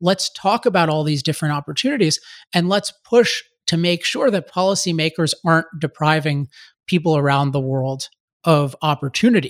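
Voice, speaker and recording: An unremarkable speaking voice, a man with a General American accent talks at fairly high pitch and a moderate pace with ordinary pitch variation, in a dry, close sound with no echo on a very clean recording with a silent background. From US, Maryland. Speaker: author and energy advocate. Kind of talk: interview.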